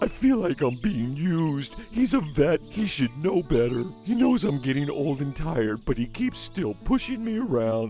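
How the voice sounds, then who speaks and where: A man does a cartoonish character voice at a fairly high pitch and a moderate pace, with clear music in the background. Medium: puppet show. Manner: whiny, self-pitying, complaining; pleading, desperate.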